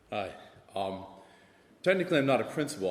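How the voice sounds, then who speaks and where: With an American accent, a man talks in very wide pitch swings amid audible room echo. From US South. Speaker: assistant principal. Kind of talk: panel discussion.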